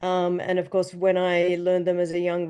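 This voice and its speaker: Speaking with an Australian accent against a quiet background, a woman has a fairly low pitch and a dark, mellow tone. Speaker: orchestra conductor. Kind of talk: interview.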